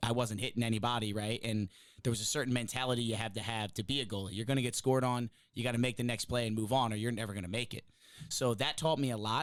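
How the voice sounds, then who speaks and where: Speaking at a very fast pace, a man with an American accent holds a medium pitch. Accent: New Jersey, comes out when excited. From New Jersey. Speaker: college lacrosse coach. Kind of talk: podcast interview. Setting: studio. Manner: loud; upbeat, animated.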